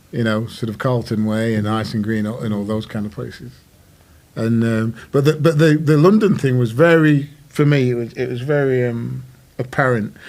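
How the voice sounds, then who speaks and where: In a northern English accent, a man speaks at medium pitch and a moderate pace, with ordinary pitch variation. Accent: northern English, broad. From northern England, Worksop. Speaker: musician. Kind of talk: casual chat.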